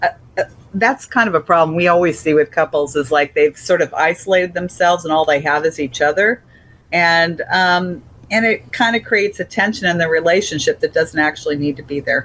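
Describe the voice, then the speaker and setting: Speaking at a fairly quick pace, a woman has a fairly low pitch, ordinary pitch variation and an ordinary speaking voice. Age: 60s. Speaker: publisher. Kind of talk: interview.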